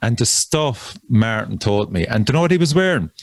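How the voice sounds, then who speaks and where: A man is speaking. He has a Cork accent. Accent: Cork Irish. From Ireland, Cork. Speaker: death metal musician. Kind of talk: casual chat.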